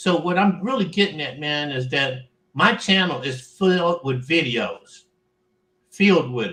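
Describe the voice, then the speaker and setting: A man talks at a fairly slow pace with a fairly high pitch and lively intonation. His tone is bright and sharp, with big swings in loudness. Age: 60s. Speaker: military veteran and fellow online show host. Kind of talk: casual chat.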